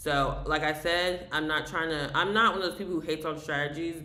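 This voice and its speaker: Mumbled at a fairly quick pace in an American accent, the speech comes through noticeable background noise. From US South. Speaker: day trader streamer. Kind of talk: live trading tutorial. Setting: live stream. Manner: fast; mumbling.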